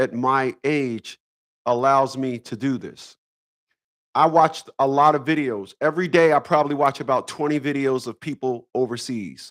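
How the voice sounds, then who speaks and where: Spoken at a moderate pace in an American accent with fairly even intonation, the clip has a dry, close sound with no echo and a very clean recording with a silent background. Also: man. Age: 50s. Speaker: YouTube live streamer. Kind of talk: casual live stream monologue. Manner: halting.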